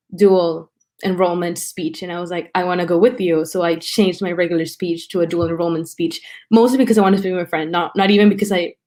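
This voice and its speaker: On a very clean recording with a silent background, a woman with a Spanish accent speaks at a medium pitch with fairly even intonation. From Mexico and South Texas. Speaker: college student. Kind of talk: interview, personal story. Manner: casual, many fillers.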